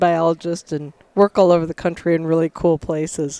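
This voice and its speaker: With an American accent, a woman speaks at a fairly quick pace in a dark, mellow tone with fairly low pitch, the sound dry and close with no echo. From Michigan, US. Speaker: wildlife biologist and conservation organization leader. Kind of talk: interview conversation.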